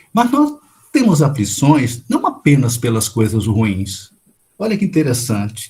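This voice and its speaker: Somewhat breathy and dark, mellow in tone, a man's voice swings very widely in pitch. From Brazil, interior of São Paulo state. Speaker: spiritist lecturer. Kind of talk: lecture.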